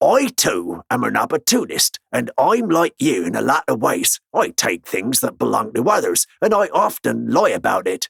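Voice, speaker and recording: Putting on a character voice, a man speaks at a moderate pace with hardly any pauses. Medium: read story. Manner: wry, self-assured.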